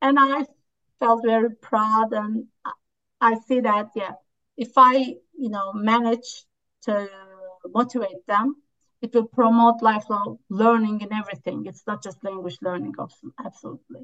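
With a Turkish accent, a woman talks at a moderate pace in a fairly high, bright and sharp voice, her intonation fairly even, her loudness swinging widely and her pauses long and frequent. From Turkey. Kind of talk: interview conversation. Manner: hesitant, with fillers.

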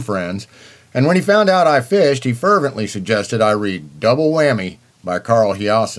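In an ordinary speaking voice, a man with an American accent talks at a moderate pace and medium pitch, with lively intonation. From eastern Kansas. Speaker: fishing book reviewer. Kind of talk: book review.

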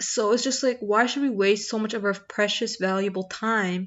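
A woman with an ordinary speaking voice talks at a medium pitch, keeping her intonation fairly even. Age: 20s. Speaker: podcast host. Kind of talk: casual monologue.

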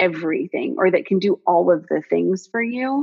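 At a moderate pace, a woman with a medium pitch speaks in an unremarkable speaking voice. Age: 30s. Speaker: functional health coach. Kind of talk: interview.

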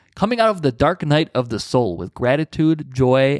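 A man with an unremarkable speaking voice talks at a moderate pace, his fairly high pitch moving in lively intonation, on a very clean recording with a silent background and a dry, close sound with no echo. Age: 20s. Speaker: podcast host. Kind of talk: interview.

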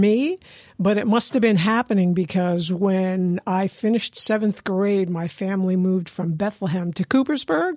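With an American accent and an unremarkable speaking voice, a woman talks at medium pitch and a moderate pace, with ordinary pitch variation, hardly any pauses, and a dry, close sound with no echo. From US Northeast, Lehigh Valley, Pennsylvania. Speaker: musician and drum circle leader. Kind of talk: interview, personal story.

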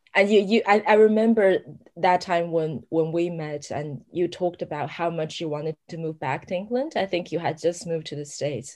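Speaking with hardly any pauses, a woman uses a fairly low pitch and ordinary pitch variation. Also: moderate pace, quiet background. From China, Sichuan near Chengdu. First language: Mandarin Chinese. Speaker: novelist. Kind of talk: interview conversation.

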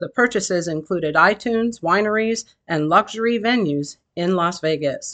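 A woman's bright, sharp voice at medium pitch, set against a quiet background. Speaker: local news anchor. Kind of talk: formal news reading, brisk headline bulletin read from a script. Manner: formal; even, steady, authoritative delivery.

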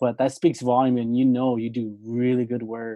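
A man speaks at medium pitch in a normal speaking voice. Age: 30s. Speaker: podcast host and former mechanic. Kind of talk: casual interview chat.

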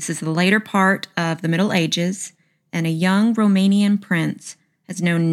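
A woman talks at a fairly slow pace in a Southern US accent, her pitch fairly low with ordinary variation. The recording is very clean, with a silent background. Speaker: podcast host. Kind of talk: casual storytelling podcast. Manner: chatty, joking.

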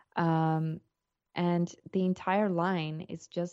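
In a South African accent, a woman speaks in a flat monotone at a fairly low pitch, her tone dark and mellow, the sound dry and close with no echo. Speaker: entrepreneur and human rights consultant. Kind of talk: interview.

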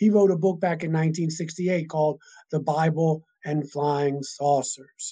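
Speaking at a fairly slow pace, a man with an unremarkable speaking voice keeps a fairly high pitch and fairly even intonation. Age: 60s. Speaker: minister and author on alien topics. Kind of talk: casual interview chat. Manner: rambling, repeats words.

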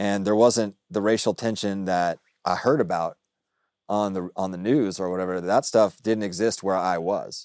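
In a very clean recording with a silent background and a dry, close sound with no echo, a man with an American accent and an ordinary speaking voice talks at a moderate pace and fairly low pitch with fairly even intonation. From US South, Dallas. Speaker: freelance journalist. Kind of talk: casual chat. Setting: studio.

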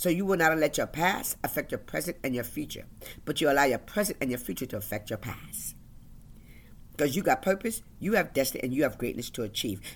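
Fairly quick speech on a very clean recording with a silent background. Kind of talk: motivational faith-based talk. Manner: passionate, animated, demanding.

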